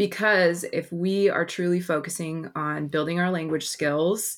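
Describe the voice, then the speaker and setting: A woman with a very deep, low pitch and an American accent, in a very clean recording with a silent background. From Oregon, Portland area. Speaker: former Spanish teacher, education presenter. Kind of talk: casual interview chat.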